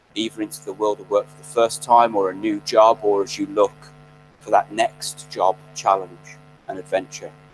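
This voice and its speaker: Music plays in the background of this dry, close sound with no echo, and the loudness swings widely. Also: man, moderate pace. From Birmingham, English Midlands. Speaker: graduation guest speaker. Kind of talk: speech.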